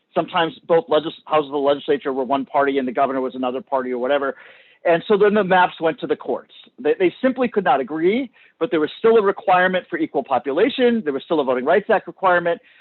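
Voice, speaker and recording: Loud and very fast, a man speaks at a high pitch with lively intonation. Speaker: subject matter expert on redistricting. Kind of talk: public hearing testimony. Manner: halting, repeats words.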